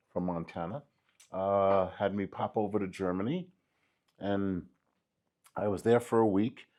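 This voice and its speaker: A man with a New York accent speaks at a fairly slow pace in a fairly low pitch, his intonation fairly even, with long, frequent pauses against a quiet background. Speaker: graffiti artist. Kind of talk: interview.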